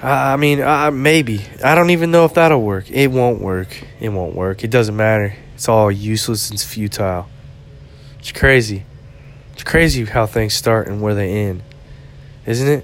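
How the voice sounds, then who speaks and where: A man's medium-pitched voice with long, frequent pauses over noticeable background noise. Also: lively intonation, moderate pace. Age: 30s. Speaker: podcaster. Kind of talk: casual monologue. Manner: halting.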